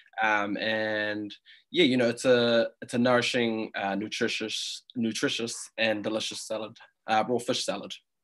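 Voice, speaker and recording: The speaker has a New Zealand accent and a moderate pace. The intonation stays monotone and flat. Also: man, medium pitch for a man. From New Zealand, Auckland. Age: 20s. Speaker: food business co-founder. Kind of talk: interview.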